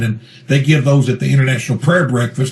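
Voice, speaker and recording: With a Kentucky accent, the speaker talks very fast in fairly even intonation over noticeable background noise. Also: man. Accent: Kentucky Southern US. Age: 60s. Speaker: pastor and Bigfoot researcher. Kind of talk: interview. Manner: fluent, talkative.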